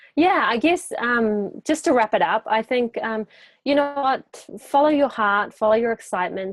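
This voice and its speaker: A woman speaks in a New Zealand accent with ordinary pitch variation. The sound is dry and close, with no echo. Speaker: life coach. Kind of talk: interview.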